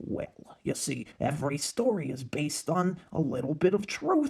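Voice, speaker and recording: This is a cartoonish character voice. Its pitch sits in the middle range. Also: moderate pace. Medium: puppet show. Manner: calm, patient.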